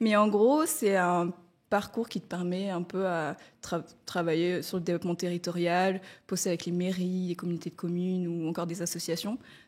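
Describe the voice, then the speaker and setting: At a moderate pace, a woman speaks in a fairly low pitch with fairly even intonation, in a very clean recording with a silent background. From Madagascar. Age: 20s. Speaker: freelance community manager. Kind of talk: testimony. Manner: hesitant, many fillers.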